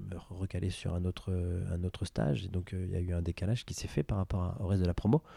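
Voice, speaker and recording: At a fairly quick pace, a man speaks with a very deep, low pitch and a dark, mellow, somewhat breathy tone, the sound dry and close with no echo on a very clean recording with a silent background. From western France, Angers. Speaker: entrepreneur, engineer. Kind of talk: interview testimony. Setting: office. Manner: halting, many repetitions.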